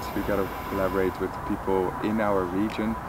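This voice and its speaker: Over noticeable background noise, a man speaks with a dry sound and no echo. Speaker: interviewer. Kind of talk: interview conversation. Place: garden. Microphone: lapel.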